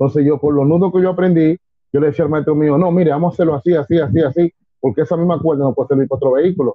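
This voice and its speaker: Delivered at a very fast pace, the speech keeps fairly even intonation and very even loudness. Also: man, fairly high pitch for a man. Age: 50s. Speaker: civil defense emergency brigade chief. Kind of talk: interview.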